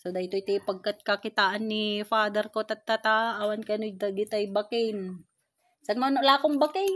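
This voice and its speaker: Fairly even intonation and a moderate pace come through in a dry, close sound with no echo. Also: woman. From La Union, Philippines. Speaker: daughter filming her father. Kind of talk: casual talk to camera.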